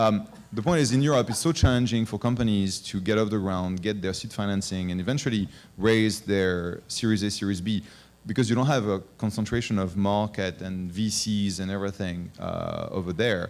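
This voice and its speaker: Speaking at a fairly quick pace with a French accent, a man uses a fairly low pitch and ordinary pitch variation. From France. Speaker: venture capital investor. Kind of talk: panel discussion. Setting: conference stage with audience. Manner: hesitant, with frequent fillers.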